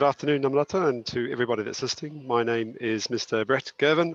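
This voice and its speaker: In a New Zealand accent, a man of medium pitch talks at a very fast pace with ordinary pitch variation, recorded dry and close with no echo. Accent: New Zealand accent, still audible. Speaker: school principal. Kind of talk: webinar panel discussion.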